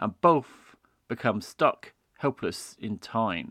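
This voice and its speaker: The delivery has a dramatic tone on a very clean recording, silent background. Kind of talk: radio-style documentary narration, reading out show history and episode synopses. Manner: measured, dramatic and trailer-like, building suspense as the plot is laid out.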